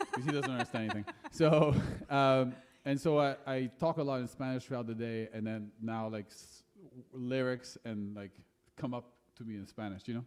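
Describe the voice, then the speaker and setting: A man with a French accent, fairly even intonation, big swings in loudness, and long, frequent pauses. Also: medium pitch for a man, moderate pace. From France. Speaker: singer-songwriter. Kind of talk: casual chat between songs on stage. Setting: live music venue with audience.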